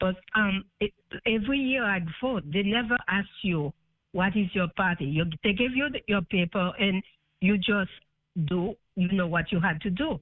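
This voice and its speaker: The speaker, with a non-native accent, keeps a moderate pace broken by long, frequent pauses. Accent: foreign. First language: not English. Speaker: caller. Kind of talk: phone call-in question. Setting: phone call. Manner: hesitant.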